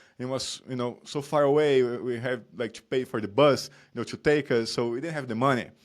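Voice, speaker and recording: A man with a Brazilian accent, medium in pitch, fairly quick in pace, and fairly even in intonation. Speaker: performance coach. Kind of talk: interview chat.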